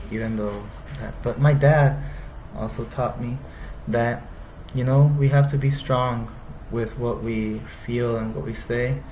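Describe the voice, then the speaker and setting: With an American accent, a man talks at a fairly slow pace with long, frequent pauses, amid noticeable background noise and audible room echo. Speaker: university student. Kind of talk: class presentation. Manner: halting.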